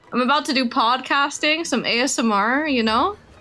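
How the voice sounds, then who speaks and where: A woman speaks at a high pitch. Her voice is squeaky. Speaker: VTuber streamer. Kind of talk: casual chat.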